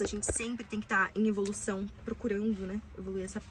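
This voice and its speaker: Against noticeable background noise, a woman speaks fairly quickly at a medium pitch. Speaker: self-help video creator. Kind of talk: casual advice monologue. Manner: fast; animated.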